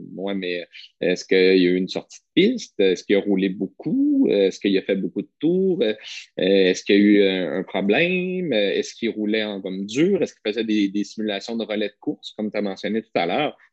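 Speaking with a Quebec accent, a man talks at a fairly quick pace and a fairly low pitch. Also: ordinary pitch variation, big swings in loudness. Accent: Québécois French. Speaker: podcast co-host. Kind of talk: casual chat.

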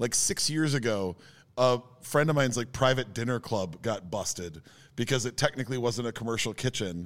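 A man with an American accent speaks at a moderate pace in a plain, everyday voice. His pitch is medium with ordinary variation, on a very clean recording with a silent background. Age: 40s. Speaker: podcast co-host, former DJ. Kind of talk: casual chat. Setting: studio.

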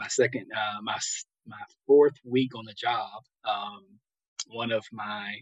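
A man speaks with an American accent. The sound is dry and close, with no echo. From West Virginia. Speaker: pastor and former NFL player. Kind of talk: interview conversation.

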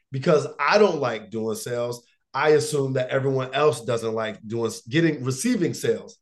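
At a moderate pace, a man speaks at medium pitch with ordinary pitch variation in an unremarkable speaking voice. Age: 30s. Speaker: motivational speaker and coach. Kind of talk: casual interview.

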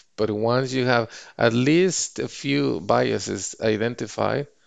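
Against a quiet background, a man is speaking. He has a Spanish accent. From Mexico. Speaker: finance executive. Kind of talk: podcast interview.

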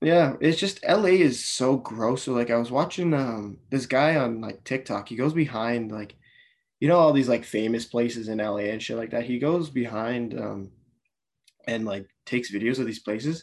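In a quiet background, a man with a Canadian accent speaks at a moderate pace in a medium pitch, with ordinary pitch variation and a normal speaking voice. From Canada. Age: 20s. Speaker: auto detailer and podcaster. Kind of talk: casual chat.

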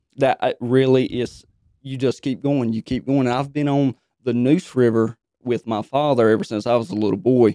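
A man with a Southern US accent, medium pitch and fairly even intonation, in a dry, close sound with no echo. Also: moderate pace. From North Carolina. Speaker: tournament angler. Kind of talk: interview.

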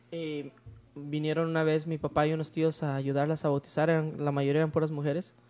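Talking at a fairly quick pace, a man uses a fairly high pitch and a monotone, flat intonation. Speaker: youth church leader. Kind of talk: casual chat. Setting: at home.

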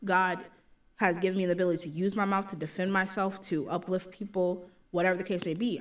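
A woman talks at a fairly quick pace in a medium pitch. She has an ordinary speaking voice. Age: 20s. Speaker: podcast co-host, college student. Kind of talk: casual chat.

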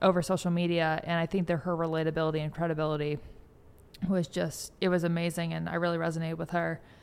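Against a silent background in a very clean recording, a woman with a fairly low pitch speaks at a very fast pace in a monotone, flat intonation. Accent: American. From US West Coast, San Francisco Bay Area. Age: 20s. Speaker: PhD researcher. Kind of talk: interview. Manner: casual, filler-heavy.

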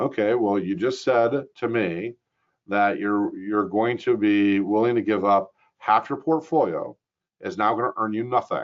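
The man's voice sits fairly low, with ordinary pitch variation. He talks at a fairly slow pace.

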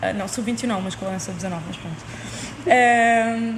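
Over noticeable background noise and audible room echo, a woman talks in a fairly high voice with fairly even intonation. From Lisbon, Portugal. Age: young. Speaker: university student and table tennis athlete. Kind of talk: casual interview.

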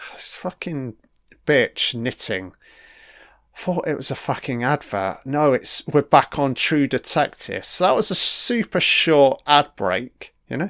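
A man's fairly high voice with a British accent, lively intonation and a fairly slow pace, in a very clean, dry, close recording with a silent background and no echo. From UK. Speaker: commentator. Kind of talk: angry rant, sweary commentary over a TV episode, sarcastic mocking tirade. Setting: home recording, audio-only commentary while watching.

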